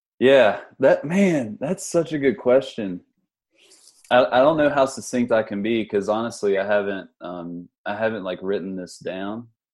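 In an unremarkable speaking voice, a man with an American accent and medium pitch talks at a fairly slow pace with lively intonation and big swings in loudness. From West Virginia, Huntington. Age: 30s. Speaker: physical therapist, geriatric rehab advocate. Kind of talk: casual podcast interview.

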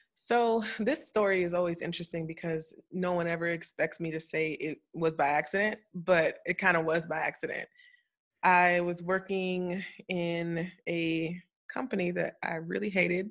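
Recorded very cleanly with a silent background, a woman with an American accent speaks in an animated tone at a fairly low pitch and a moderate pace. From Florida. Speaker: cybersecurity consultant. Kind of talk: casual interview. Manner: animated, laughs often.

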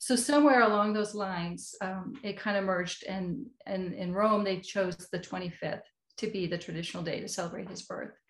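Speaking with an American accent, a woman keeps a moderate pace. Her voice is medium in pitch and somewhat breathy. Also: ordinary pitch variation. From United States. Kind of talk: interview.

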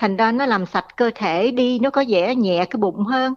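A woman speaks at a fairly slow pace with ordinary pitch variation in a normal speaking voice. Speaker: caller. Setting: phone call.

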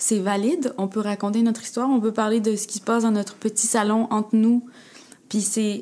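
A woman talks at a fairly quick pace in a fairly high pitch. Her intonation is monotone and flat. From Quebec, Montreal area, of Egyptian family. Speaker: playwright and actress. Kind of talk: casual interview.

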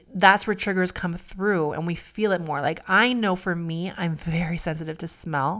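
A woman speaks in an unremarkable speaking voice, fairly low in pitch. She barely pauses at all. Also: ordinary pitch variation, moderate pace. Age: 40s. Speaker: podcast co-host. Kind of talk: casual chat.

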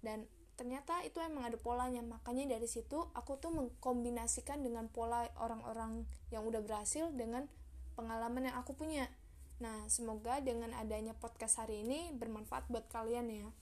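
Over noticeable background noise, a woman talks at a fairly quick pace in a fairly high voice. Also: fairly even intonation. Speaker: solo podcaster. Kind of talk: motivational monologue. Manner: casual, chatty; emotive, expressive.

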